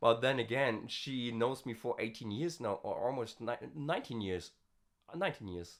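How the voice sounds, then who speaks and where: Lively intonation runs through this man's medium-pitched voice. He keeps a moderate pace. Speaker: vocal practice vlogger. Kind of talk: casual vlog talk. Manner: hesitant, many fillers.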